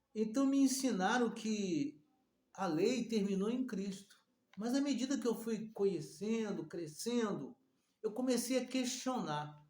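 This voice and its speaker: In a room with audible echo, a man with a high pitch speaks at a fairly slow pace with lively intonation. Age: 60s. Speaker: preacher. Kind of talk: sermon. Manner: halting.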